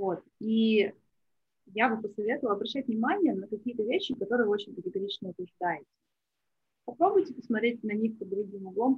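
Pausing long and often, a woman speaks in a somewhat breathy, fairly high-pitched voice. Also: ordinary pitch variation, fairly quick pace. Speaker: business tracker and marketer. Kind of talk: interview podcast conversation.

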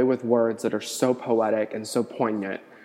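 Speaking in a medium pitch with an American accent, a man keeps a moderate pace. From US Midwest, Cincinnati. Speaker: podcaster. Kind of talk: casual monologue.

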